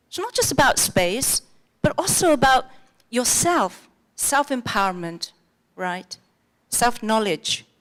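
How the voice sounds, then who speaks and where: Speaking with an English accent, a woman uses a high pitch and very wide pitch swings, moving at a very slow pace with long, frequent pauses. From England. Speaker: conference speaker. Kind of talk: conference talk. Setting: stage with audience. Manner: animated.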